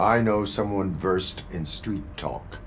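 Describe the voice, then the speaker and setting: A man puts on a character voice at a fairly low pitch and a fairly slow pace. Background noise is clearly heard. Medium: video game. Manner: flat, formal, no contractions.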